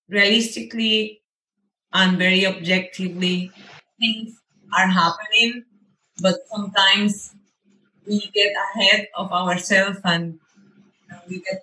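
A woman with a Spanish accent, medium-pitched, with a bright, sharp tone and a fairly slow pace. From Venezuela. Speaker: runner. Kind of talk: interview.

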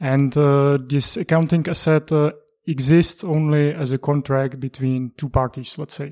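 A man with a Czech accent speaks at a fairly slow pace in a fairly high pitch, his intonation fairly even and his tone dark and mellow, in a dry, close sound with no echo. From Czech Republic. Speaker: economics analyst. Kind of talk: interview. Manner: halting.

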